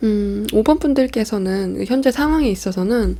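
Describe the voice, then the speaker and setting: A woman speaks at a fairly high pitch with very wide pitch swings and a dark, mellow tone. Her pace is fairly slow. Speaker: tarot reader. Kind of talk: tarot reading. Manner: speeds up at times.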